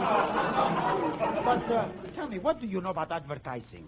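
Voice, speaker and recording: A man speaks at a fairly slow pace with a high pitch. Crowd noise carries in the background. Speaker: bandleader and candy businessman (comedy character). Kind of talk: old-time radio comedy sketch.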